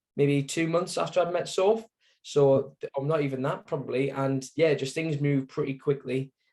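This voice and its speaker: A fairly high-pitched man with a dark, mellow tone, fairly even intonation, and a moderate pace. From northeast England, Sunderland. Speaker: cancer survivor, support group founder. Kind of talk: interview testimony. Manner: hesitant, many fillers.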